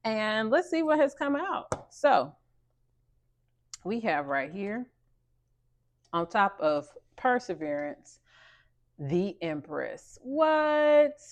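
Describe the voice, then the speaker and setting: Using an American accent, a woman's voice climbs and drops through very wide pitch swings. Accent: Southern accent, comes out when passionate. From US South. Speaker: tarot and oracle card reader. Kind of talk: spiritual card reading. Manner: animated, emphatic.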